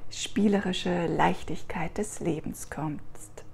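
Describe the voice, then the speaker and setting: Speaking at a very slow pace, a woman uses a soothing, warm tone with lively intonation and vocal fry. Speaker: meditation guide. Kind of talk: guided meditation. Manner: slow, soft, soothing, warm and gentle.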